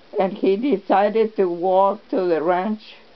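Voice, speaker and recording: Noticeable background noise sits under this recording. A woman talks at a very slow pace with a medium pitch. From Texas. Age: 80s+. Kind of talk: family storytelling interview. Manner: hesitant, halting.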